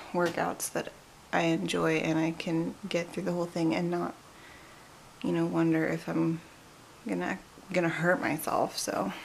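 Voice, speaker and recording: Moderate-paced speech with long, frequent pauses over noticeable background noise. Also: woman. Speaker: vlogger, pregnant stay-at-home mom. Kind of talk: casual vlog to camera. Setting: home at night, dark room.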